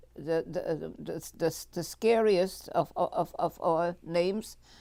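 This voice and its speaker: With a German accent, the speaker's dark, mellow tone keeps a fairly even intonation on a very clean recording with a silent background. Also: woman. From Germany, Munich. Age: 90s. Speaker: Holocaust survivor. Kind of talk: testimony. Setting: public library talk. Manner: halting, many fillers and repetitions.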